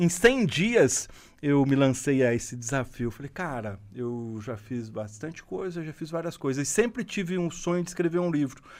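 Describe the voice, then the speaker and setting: With a plain, everyday voice, a man with a fairly high pitch talks at a moderate pace with lively intonation, big swings in loudness and hardly any pauses. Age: 50s. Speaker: former company executive and entrepreneur. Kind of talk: interview.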